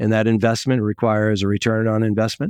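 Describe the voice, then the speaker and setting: A normal speaking voice from a man, medium in pitch and moderate in pace, dry and close with no echo, over a quiet background. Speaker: supply chain executive. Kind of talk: interview.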